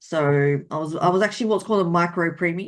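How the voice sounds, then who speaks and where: A woman in an Australian accent, fairly low-pitched, with fairly even intonation. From Australia, rural New South Wales. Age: 40s. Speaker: romance author. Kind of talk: interview.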